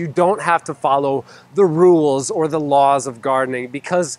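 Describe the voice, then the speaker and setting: Ordinary pitch variation marks this man's speech at a moderate pace. The sound is dry, with no echo. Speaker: gardening channel host. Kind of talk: casual vlog chat. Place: garden. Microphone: lapel.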